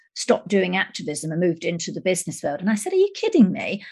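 Against a quiet background, a woman talks at a very fast pace in a somewhat breathy voice with a fairly low pitch. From UK. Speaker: journalist and podcaster. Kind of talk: podcast panel discussion.

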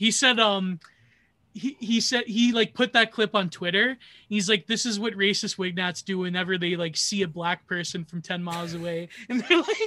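A man with a Canadian accent speaks in a raised, projected voice at a moderate pace, his pitch high and his tone bright and sharp. The recording is very clean, with a silent background and a dry, close sound with no echo. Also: ordinary pitch variation. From Canada, Niagara region. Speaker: comedy podcaster. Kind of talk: casual chat.

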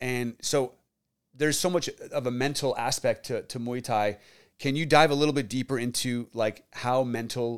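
Very clean with a silent background, the recording carries a man's plain, everyday voice at a medium pitch, with fairly even intonation and a moderate pace. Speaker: podcast host and real estate agent. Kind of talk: interview conversation.

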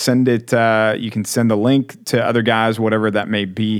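Here is a man with an American accent and an ordinary speaking voice. He talks at a fairly quick pace with a fairly low pitch. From Texas. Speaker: podcast host. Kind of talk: casual chat. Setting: studio.

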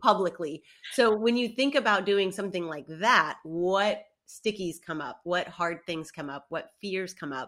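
A woman speaks at a medium pitch and a fairly slow pace. Her intonation is lively, with big swings in loudness. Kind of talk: casual chat, podcast interview. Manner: casual, animated, swears.

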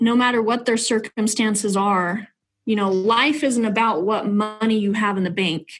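This is a plain, everyday voice with fairly even intonation and very even loudness. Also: woman. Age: 30s. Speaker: realtor and nonprofit founder. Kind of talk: testimony.

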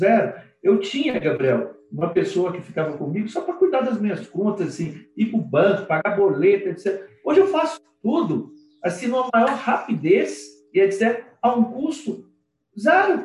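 Speaking at a moderate pace, a man's high voice swings very widely in pitch. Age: 50s. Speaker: lawyer. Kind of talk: casual interview. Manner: animated.

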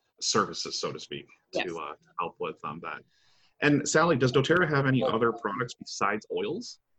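A man's medium-pitched voice with an American accent, a bright, sharp tone, very wide pitch swings, vocal fry and a fairly quick pace. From Michigan, Detroit area. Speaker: podcast host. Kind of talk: interview.

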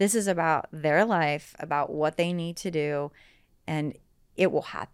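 In an American accent, a woman with a normal speaking voice talks at a fairly slow pace with ordinary pitch variation. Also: fairly low pitch for a woman. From US South, southern West Virginia. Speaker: real estate agent. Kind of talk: interview.

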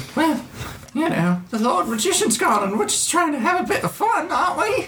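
Clear background noise sits behind a put-on character voice at a high pitch and a moderate pace, with very wide pitch swings. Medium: actual play. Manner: rambling, evasive.

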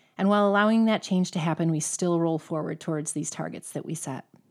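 A woman with an unremarkable speaking voice speaks at a fairly low pitch with fairly even intonation, in a very clean recording with a silent background. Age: 40s. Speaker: podcast host and amateur athlete. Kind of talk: solo monologue.

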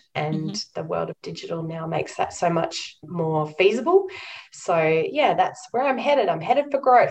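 Woman with an Australian accent at a moderate pace. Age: 40s. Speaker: nonprofit chief executive. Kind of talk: interview.

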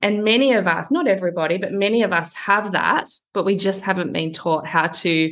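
There is a quiet background as a woman speaks in a medium pitch with ordinary pitch variation. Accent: Australian. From Australia, small town outside Sydney. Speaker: personal branding coach. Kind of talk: interview.

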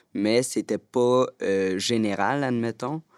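In a very clean recording with a silent background and a dry, close sound with no echo, a man with a normal speaking voice talks at a fairly slow pace, his medium pitch varying in an ordinary way. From Quebec, Montreal. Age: 20s. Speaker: youth spokesperson. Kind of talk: round-table discussion.

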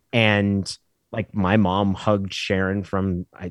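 A man with an American accent speaks at a very deep, low pitch. The sound is dry and close with no echo, in a very clean recording with a silent background. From Oregon, Klamath Falls. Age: 40s. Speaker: former sports radio host and sportswriter. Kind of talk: casual podcast interview.

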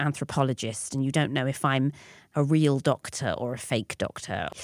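A woman with a London accent speaks at a moderate pace in a very deep, low pitch, her intonation monotone and flat. The recording is very clean, with a silent background. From North London. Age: 40s. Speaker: performance artist and lecturer. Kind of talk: interview conversation. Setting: pop-up studio.

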